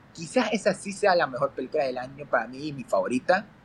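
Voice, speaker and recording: A man speaks with a high pitch. Noticeable noise sits in the background. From Ecuador. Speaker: film critic. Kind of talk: casual chat.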